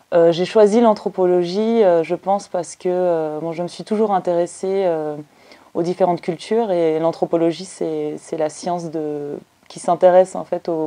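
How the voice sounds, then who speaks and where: Fairly low in pitch with a dark, mellow tone, a woman speaks at a moderate pace with fairly even intonation and big swings in loudness. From Belgium. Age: 30s. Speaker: anthropologist. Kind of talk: interview. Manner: hesitant, many fillers.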